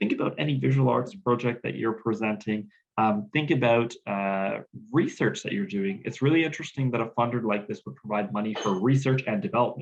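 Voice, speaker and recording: Speaking at a fairly quick pace, a man with a medium pitch makes very wide pitch swings. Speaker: grant writing consultant. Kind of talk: webinar presentation. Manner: fast.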